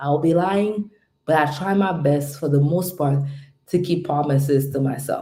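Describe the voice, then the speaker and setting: A quiet woman speaks with a very deep, low pitch and ordinary pitch variation. Audible room echo surrounds her voice. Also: moderate pace, very even loudness. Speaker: home care business coach. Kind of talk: live stream motivational talk. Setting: home at night, live stream. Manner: loud; subdued, trying to keep quiet.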